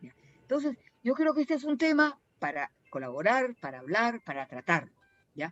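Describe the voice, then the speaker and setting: Over music in the background, a woman speaks at a moderate pace with very wide pitch swings, in a dry, close sound with no echo. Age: 70s. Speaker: speaker at heritage panel. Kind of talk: panel talk. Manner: halting.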